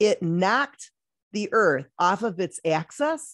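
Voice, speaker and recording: Recorded in a quiet background, a woman's voice comes through dry with no echo. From Detroit. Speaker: talk show host. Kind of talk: interview. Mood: warm, enthusiastic. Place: home room. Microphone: studio mic.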